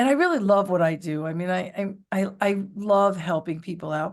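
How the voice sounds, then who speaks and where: A New York accent against a quiet background. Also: woman. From New York City area. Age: 60s. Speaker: real estate agent. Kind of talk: interview.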